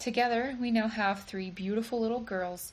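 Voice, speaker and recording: A woman speaks in an American accent at a fairly high pitch, somewhat breathy. She keeps a moderate pace, and there is audible room echo. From Virginia and Michigan, US. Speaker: church member giving a talk. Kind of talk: recorded church talk; casual interview.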